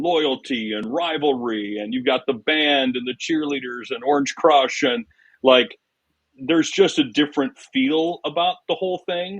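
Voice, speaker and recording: Here is a man with a fairly high pitch. He has a plain, everyday voice. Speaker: public address announcer. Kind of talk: interview answer. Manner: casual, conversational.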